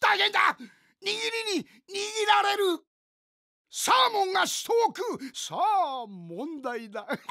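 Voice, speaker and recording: A man's extremely high, bright and sharp voice, raised and projected, with very wide pitch swings, a very slow pace and long, frequent pauses. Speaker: actor. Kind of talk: movie trailer. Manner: playful, enthusiastic.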